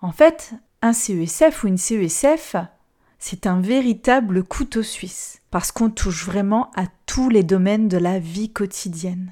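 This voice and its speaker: On a very clean recording with a silent background, a woman with a dark, mellow tone and medium pitch speaks very slowly with lively intonation. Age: 30s. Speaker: social worker and podcast host. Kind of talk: monologue podcast.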